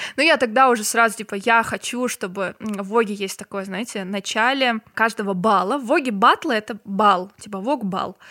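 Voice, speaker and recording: A woman speaks at a moderate pace with hardly any pauses, her pitch fairly high with ordinary variation. Her tone is bright and sharp, and the recording is very clean with a silent background. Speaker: social media marketer. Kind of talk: casual chat.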